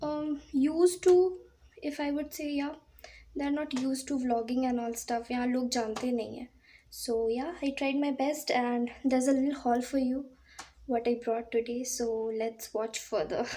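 The voice has a dark, mellow tone and ordinary pitch variation. It moves at a moderate pace with long, frequent pauses. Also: woman, high pitch for a woman. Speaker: vlogger. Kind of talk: casual vlog chat. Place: home room. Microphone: phone near.

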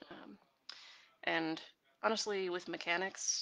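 A soft-spoken woman with a bright, sharp tone. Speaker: webcomic artist streaming while drawing. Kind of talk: casual live stream chat answering comments. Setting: live video stream. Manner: soft-spoken, talking quietly; hesitant, many fillers.

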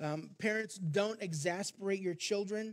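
At a fairly slow pace, a man speaks in a high pitch with ordinary pitch variation. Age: 50s. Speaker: pastor. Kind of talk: sermon. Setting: church. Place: church. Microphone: headset.

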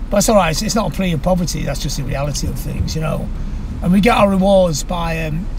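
Over noticeable background noise, a man talks at a very fast pace with ordinary pitch variation and a dry sound with no echo. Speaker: interview guest. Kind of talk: interview answer. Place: car. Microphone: phone near.

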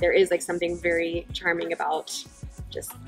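Faint music sits in the background while a woman talks at a moderate pace. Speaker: host interviewing wine founders. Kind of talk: casual interview chat. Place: bar.

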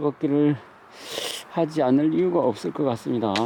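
Against noticeable background noise, a man with a fairly high voice talks at a moderate pace. His pitch varies in an ordinary way. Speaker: interviewer. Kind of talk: casual interview talk outdoors. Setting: outdoors.

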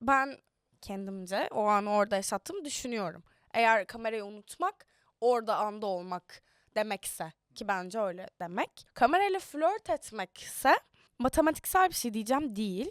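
A woman with an ordinary speaking voice, fairly high pitch and lively intonation at a moderate pace, on a very clean recording with a silent background and a dry, close sound with no echo. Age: young. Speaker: actress. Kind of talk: casual interview chat. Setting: studio.

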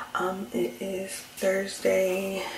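A woman's voice with audible room echo and light background noise. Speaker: pregnant vlogger. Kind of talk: casual vlog chat. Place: bathroom. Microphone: phone near.

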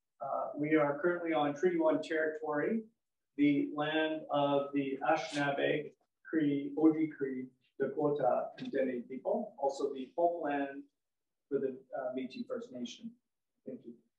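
Fairly slow speech with ordinary pitch variation and audible room echo. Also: man. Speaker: event host. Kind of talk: ceremonial welcome speech. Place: hall. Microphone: camera far.

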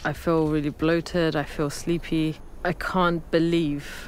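Very slowly and in a monotone, a woman talks with a very deep, low pitch over light background noise, the sound dry with no echo. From British Iranian. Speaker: TV reporter and documentary presenter. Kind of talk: documentary reporting. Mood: earnest, empathetic.

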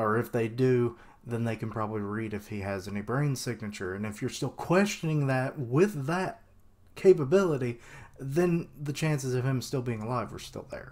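The speech moves at a moderate pace. Its intonation is lively. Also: man. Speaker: anime theory vlogger. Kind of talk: casual vlog commentary. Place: home room. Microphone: webcam.

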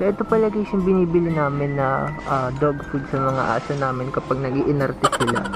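Dry sound with no echo, plus clear music in the background. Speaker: vlogger. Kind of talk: casual vlog chat. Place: shop.

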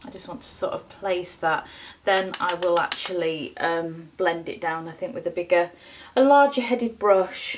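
Speaking with a Yorkshire accent, a woman uses lively intonation at a moderate pace, her loudness swinging widely over light background noise. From Yorkshire, northern England. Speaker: beauty vlogger. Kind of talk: makeup tutorial chat. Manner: hesitant, many fillers. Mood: relaxed, chatty. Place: home room. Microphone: phone near.

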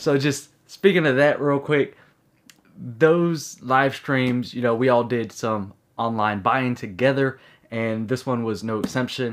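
The background is quiet as a man talks at a fairly slow pace. His pitch variation is ordinary. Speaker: unboxing vlogger. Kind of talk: casual vlog chat. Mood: upbeat, laughing. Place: home room.

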